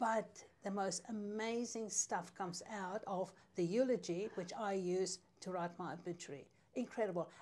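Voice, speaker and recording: A woman with a South African accent talks at a moderate pace. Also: medium pitch for a woman, ordinary pitch variation. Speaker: newspaper editor. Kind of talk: casual chat.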